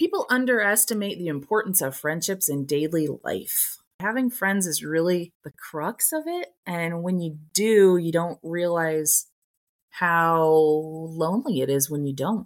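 Recorded very cleanly against a silent background, a woman talks at a fairly slow pace in an ordinary speaking voice. Her pitch is fairly low with ordinary pitch variation. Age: 50s. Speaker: podcast co-host. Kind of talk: casual chat.

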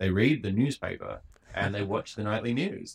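Fairly low male voice with an Australian accent at a moderate pace. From Western Australia, Perth. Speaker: cartoonist and comedian. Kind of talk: casual chat.

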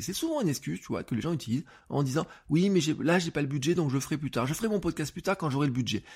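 On a very clean recording with a silent background, a man speaks very fast with vocal fry. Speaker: podcast coach. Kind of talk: tutorial. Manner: animated; casual, many fillers.

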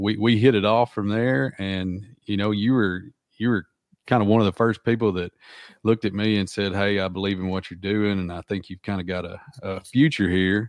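A man with a Southern US accent speaks at a fairly low pitch with fairly even intonation. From Arkansas. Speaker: podcast host, writer. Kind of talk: casual interview. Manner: halting.

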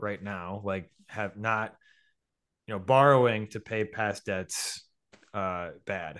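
This man talks in an ordinary speaking voice at a fairly low pitch. His pace is fairly slow. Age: 30s. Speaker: investment writer. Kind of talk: casual chat.

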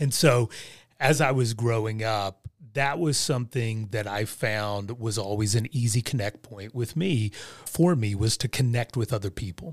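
In a normal speaking voice, a man of medium pitch talks at a moderate pace with ordinary pitch variation, in a dry, close sound with no echo on a very clean recording with a silent background. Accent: American. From West Virginia / Southern Ohio. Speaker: life and leadership coach, former pastor. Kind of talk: casual interview.

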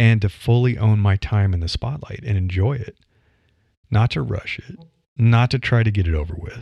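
In a Midwestern American accent, a man speaks at a moderate pace with a dark, mellow tone, somewhat breathy and fairly low in pitch. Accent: flat Midwestern American. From US Midwest. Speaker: podcaster and career newsletter writer. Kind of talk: solo podcast monologue. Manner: conversational, with laughs and fillers.

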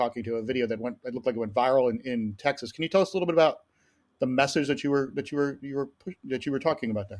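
The speaker has an unremarkable speaking voice with ordinary pitch variation. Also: man. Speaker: podcast host. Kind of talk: interview. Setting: video call.

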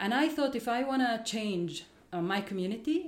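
A woman with an Arabic accent at a moderate pace, her intonation lively, over noticeable background noise. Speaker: educator. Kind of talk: interview.

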